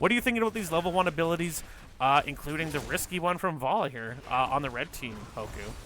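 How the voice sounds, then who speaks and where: Speaking very fast with a Canadian accent, a man uses a fairly high, bright, sharp voice with vocal fry and lively intonation. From Canada. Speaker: esports caster. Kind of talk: live commentary.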